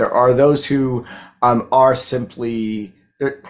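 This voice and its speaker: Against a quiet background, a man with a Baltimore accent speaks at a medium pitch. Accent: Baltimore American. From US, Baltimore, Maryland; Maryland. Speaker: public history lecturer. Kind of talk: conversational interview. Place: home room. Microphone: video call.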